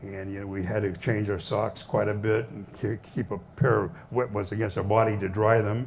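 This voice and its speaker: A man speaks at a moderate pace in a Southwestern US accent. His voice is fairly low in pitch and somewhat breathy. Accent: American Southwest. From Arizona, USA. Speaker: Korean War veteran. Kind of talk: veteran's talk to an audience.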